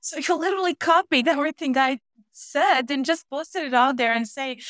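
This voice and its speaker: A woman with a non-native accent, high in pitch with ordinary pitch variation, at a fairly quick pace. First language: not English. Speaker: e-commerce fraud manager. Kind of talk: casual interview chat.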